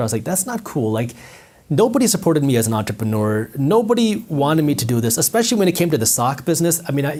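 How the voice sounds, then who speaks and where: A man talking at a very fast clip, fairly high-pitched and somewhat breathy, with very wide swings in pitch. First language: not English. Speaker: entrepreneur and finance content creator. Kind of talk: interview storytelling. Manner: animated.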